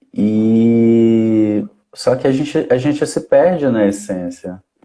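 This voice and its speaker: A man is speaking. His tone is dark and mellow. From Brazilian Northeast. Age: 20s. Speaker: social worker. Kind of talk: casual chat. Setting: online live stream. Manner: hesitant, many fillers.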